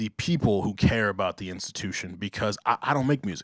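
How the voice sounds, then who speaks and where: This man has a normal speaking voice with an American accent, ordinary pitch variation and a moderate pace. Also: dry, close sound with no echo, very clean recording, silent background. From US Northeast (Long Island, New York). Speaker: podcast host. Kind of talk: casual chat.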